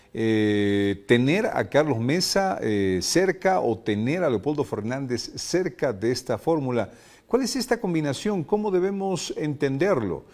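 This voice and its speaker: A man speaks with hardly any pauses. His fairly high pitch swings very widely. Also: fairly slow pace. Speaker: radio host. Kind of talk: interview.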